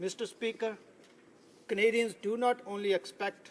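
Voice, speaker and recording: The speaker, with a Punjabi accent, moves at a moderate pace. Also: man. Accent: Indian Punjabi. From India, Punjab. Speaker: politician. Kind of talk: parliamentary speech. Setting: legislative chamber. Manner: formal.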